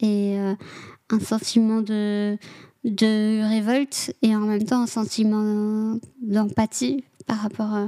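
A woman's dark, mellow voice, recorded dry and close with no echo. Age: 20s. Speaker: social worker with offenders. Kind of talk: personal testimony interview. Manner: halting, many hesitations.

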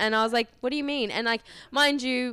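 A woman with an Australian accent, in a very clean, dry, close recording with no echo and a silent background. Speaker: model booker. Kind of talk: casual interview. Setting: in person, downtown.

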